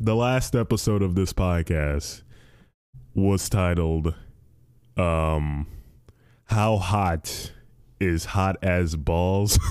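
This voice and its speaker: In a very clean recording with a silent background, a man speaks very slowly with long, frequent pauses, in a very deep, low pitch with ordinary variation. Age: 20s. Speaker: solo podcast host. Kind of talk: casual monologue. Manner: halting, many false starts; animated.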